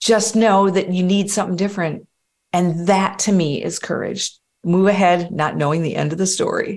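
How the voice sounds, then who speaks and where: At a moderate pace, a woman uses a normal speaking voice with a medium pitch and fairly even intonation. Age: 50s. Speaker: life coach. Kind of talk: guided meditation; interview conversation.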